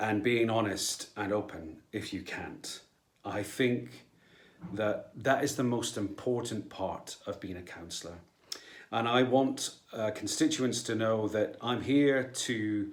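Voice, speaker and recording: A man with a Scottish accent speaks at a very slow pace. His pitch is fairly low. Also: ordinary pitch variation. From Scotland. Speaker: local councillor and actor. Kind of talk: personal video statement.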